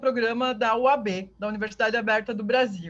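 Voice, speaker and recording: A woman speaks at a moderate pace with a southern Brazilian accent. The background is quiet. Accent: southern Brazilian (gaúcho). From southern Brazil (Rio Grande do Sul). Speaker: university professor. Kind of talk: online lecture.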